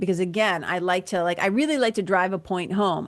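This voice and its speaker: A woman with a Boston accent speaks at a medium pitch with ordinary pitch variation. The background is quiet. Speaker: podcast host, spiritual mentor. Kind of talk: solo podcast talk. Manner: energetic, casual, humorous.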